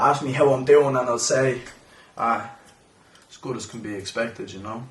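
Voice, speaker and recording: A man with an Irish accent talks at a moderate pace and medium pitch in a monotone, flat way. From Ireland. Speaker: poet. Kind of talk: spoken word poetry performance.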